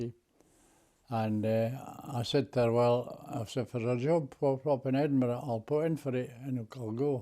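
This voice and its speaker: With a Scottish accent, a man talks at a moderate pace in a medium-pitched, dark, mellow voice with fairly even intonation. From Scotland, Scottish Borders. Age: 80s+. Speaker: war veteran. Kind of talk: interview answer.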